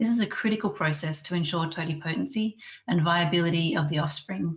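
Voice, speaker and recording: A woman speaks at a very fast pace in an Australian accent. Her pitch is fairly low. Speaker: scientist and webinar chair. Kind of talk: webinar introduction. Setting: online webinar. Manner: formal.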